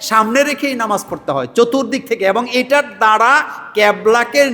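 The man speaks with a high pitch. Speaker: Islamic preacher. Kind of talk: religious Q&A sermon. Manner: rhetorical call-and-response questions.

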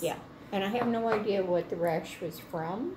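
Noticeable background noise accompanies a woman talking at a fairly slow pace, her pitch varying in an ordinary way. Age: old. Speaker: grandmother reviewing product. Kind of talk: interview answer. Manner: casual, hesitant. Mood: calm, relaxed. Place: kitchen. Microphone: phone near.

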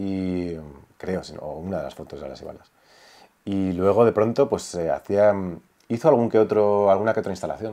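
A man speaks at a moderate pace with a fairly low pitch and a dark, mellow tone, against a quiet background. His loudness swings widely, his pitch varies in an ordinary way, and he leaves long, frequent pauses. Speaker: son of a late painter and songwriter; interviewee. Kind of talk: casual interview conversation; interview answer. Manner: halting. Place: home room. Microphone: lapel.

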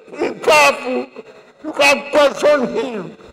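A man with a Nigerian accent speaks at a very slow pace with an extremely high pitch. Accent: Nigerian (Yoruba) English. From Nigeria (Yoruba). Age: 80s+. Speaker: elder statesman, leader of a Yoruba group. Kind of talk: funeral tribute speech. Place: hall.

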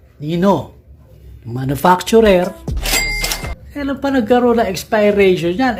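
Noticeable background noise beneath a fairly slow delivery. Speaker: car channel host. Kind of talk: vlog monologue. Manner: animated.

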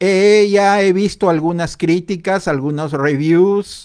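Against a quiet background, a man speaks at a very slow pace with ordinary pitch variation. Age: 40s. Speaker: livestream host. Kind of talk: casual livestream chat. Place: home room. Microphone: studio mic.

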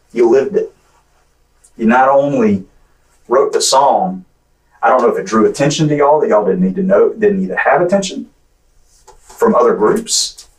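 At a moderate pace, a man speaks with long, frequent pauses against a quiet background. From Clay County, Florida; Florida. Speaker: police detective. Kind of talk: police interrogation. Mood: calm, persuasive. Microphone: camera far.

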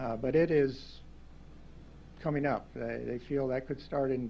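A man's dark, mellow voice with an American accent, monotone and flat, broken by long, frequent pauses over light background noise. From US Midwest. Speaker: county engineer. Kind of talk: presentation. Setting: council chamber. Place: meeting room.

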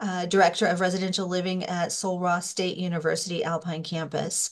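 Against a quiet background, a woman speaks at a medium pitch in an unremarkable speaking voice. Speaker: professor. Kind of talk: webinar moderation. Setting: video call.

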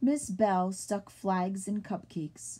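Intonation stays fairly even. The delivery is plain reading aloud.

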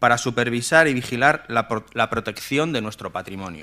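Over a quiet background, the voice moves at a moderate pace with ordinary pitch variation and a bright, sharp tone. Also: man. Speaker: town councillor. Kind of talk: reading a formal motion. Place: hall. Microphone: podium.

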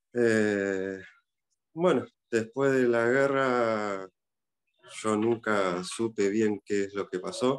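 Speaking very slowly with an Argentine accent, a man pauses long and frequently. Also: ordinary pitch variation. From Argentina. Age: 40s. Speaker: son of war veteran. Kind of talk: interview. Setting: video call. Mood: reflective, personal family memories. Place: home room. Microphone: video call.

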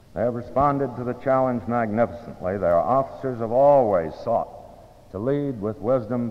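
The man's medium-pitched voice moves at a moderate pace, its pitch varying in an ordinary way. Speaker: school headmaster presiding over ceremony. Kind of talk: formal commencement ceremony address, speaking like an old school headmaster. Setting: school gymnasium, ceremony with audience. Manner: formal, measured, dignified, old-fashioned diction. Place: hall. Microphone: old recording.

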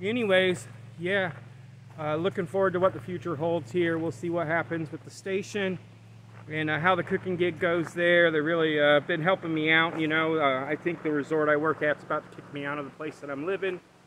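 Light background noise sits under the recording. A man talks at a fairly quick pace with ordinary pitch variation. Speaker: camping vlogger. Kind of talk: casual vlog chat. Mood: relaxed, reflective. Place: forest. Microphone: phone near.

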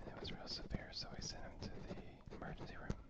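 Soft-spoken and whispering, a man talks over loud background noise. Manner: soft ASMR whisper, close mic. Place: home room. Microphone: studio mic.

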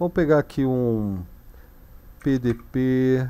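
A man's dark, mellow tone at a very slow pace. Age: 50s. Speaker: Linux course instructor and streamer; Linux course instructor, streamer. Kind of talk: live-streamed technical tutorial. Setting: live stream with chat. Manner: casual, conversational. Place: home room. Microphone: headset.

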